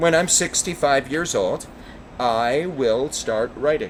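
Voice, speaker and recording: Here a man speaks at a very slow pace. Noticeable background noise can be heard. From US Midwest, Chicago. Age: 50s. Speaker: stand-up comedian and teacher. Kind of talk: casual chat. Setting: outdoors on a rooftop.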